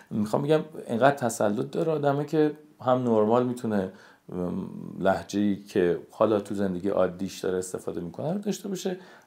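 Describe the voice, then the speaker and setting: Fairly quick speech from a man with a dark, mellow tone, medium pitch and very wide pitch swings, on a very clean recording with a silent background. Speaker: voice actor. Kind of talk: interview. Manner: hesitant, with many fillers.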